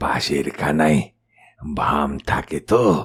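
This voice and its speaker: A man puts on a character voice. It is raspy and very deep, with a low pitch. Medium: audio drama. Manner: forced, uneasy laugh.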